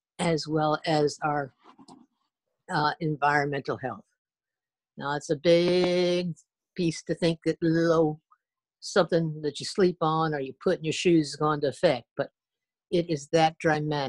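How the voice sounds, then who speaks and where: A woman speaks with a very deep, low pitch and fairly even intonation at a fairly slow pace. Her delivery has long, frequent pauses, and the sound is dry and close with no echo. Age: 70s. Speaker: wellness product distributor. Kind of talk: product presentation interview. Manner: halting, with frequent restarts.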